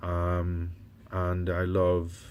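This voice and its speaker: A man with a very deep, low voice speaks with a West Indian accent. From West Indies. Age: 50s. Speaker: doctor and vlogger. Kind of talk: personal vlog. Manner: hesitant, many fillers.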